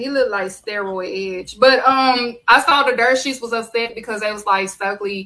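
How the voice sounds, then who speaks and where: With an American accent, the woman sounds animated, her fairly high voice bright and sharp, with ordinary pitch variation. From Texas. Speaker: wrestling podcast host. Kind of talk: casual chat.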